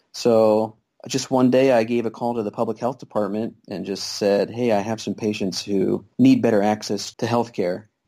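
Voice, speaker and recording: Monotone and flat, a man's dark, mellow voice sits at medium pitch with a Midwestern American accent. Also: moderate pace. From Kansas. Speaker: family physician and free clinic volunteer. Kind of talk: interview. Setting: Skype call.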